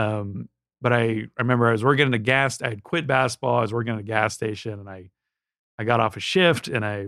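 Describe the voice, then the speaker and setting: A man with an American accent at a very fast pace, medium pitch and fairly even intonation, on a very clean recording with a silent background. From Southern California. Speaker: TV writer and show creator. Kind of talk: casual interview conversation. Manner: halting, many restarts and fillers.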